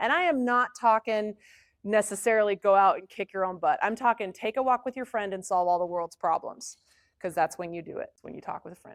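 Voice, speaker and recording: An animated tone with ordinary pitch variation and big swings in loudness sits in a very clean recording with a silent background. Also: woman, medium pitch for a woman, dry, close sound with no echo. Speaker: music psychologist and conference presenter. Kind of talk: conference talk. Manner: fast.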